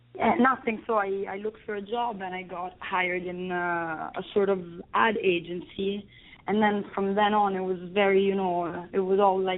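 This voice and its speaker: A woman with a strong Italian accent and fairly even intonation. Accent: thick Italian. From Italy, Rome. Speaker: film director. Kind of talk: interview. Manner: halting.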